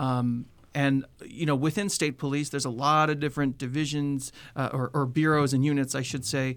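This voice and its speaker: This man has an unremarkable speaking voice, fairly high in pitch. He talks at a fairly quick pace with fairly even intonation. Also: very clean recording, silent background. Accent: American. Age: 30s. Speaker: public safety communications administrator, former TV reporter. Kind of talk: radio interview. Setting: radio studio.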